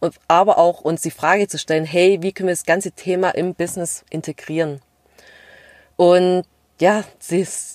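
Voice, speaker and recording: A woman speaks at a moderate pace with a slight Swabian accent and a fairly low pitch, leaving long, frequent pauses. Her intonation is fairly even, the sound dry and close with no echo on a very clean recording with a silent background. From Stuttgart area, Swabia (Vietnamese family). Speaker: podcast co-host, corporate employee. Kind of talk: casual chat.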